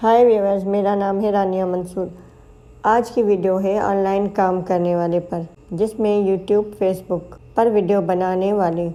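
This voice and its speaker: A woman's dark, mellow voice with monotone, flat intonation. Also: medium pitch for a woman. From Pakistan. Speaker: YouTuber. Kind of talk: motivational talk.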